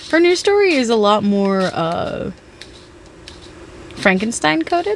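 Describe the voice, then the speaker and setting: A loud woman's fairly high voice, fairly slow, with very wide pitch swings and noticeable background noise. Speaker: gaming streamer. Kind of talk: casual gameplay chat. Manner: halting, repeats words.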